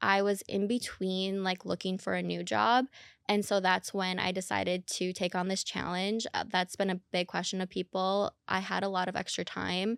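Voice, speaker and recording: A woman with a slight Minnesota accent speaks at a medium pitch and moderate pace with fairly even intonation and hardly any pauses, in a very clean recording with a silent background and a dry, close sound with no echo. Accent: slight Minnesotan, heard in O sounds. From Minnesota, Minneapolis. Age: 30s. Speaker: dating influencer. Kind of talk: podcast interview.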